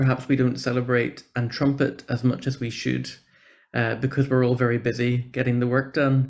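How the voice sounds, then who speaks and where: With a Northern Irish accent, a man talks at a medium pitch in a monotone, flat intonation. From Northern Ireland. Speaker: church programme officer for social justice. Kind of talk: conference talk. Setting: video call.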